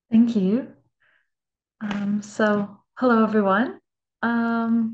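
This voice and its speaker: Somewhat breathy, this voice moves at a very slow pace with fairly even intonation. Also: woman, fairly high pitch for a woman. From Canada. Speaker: design student. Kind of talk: presentation.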